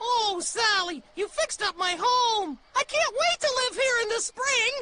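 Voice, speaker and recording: This cartoonish character voice sits at an extremely high pitch. Its pace is moderate. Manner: cheerful, friendly.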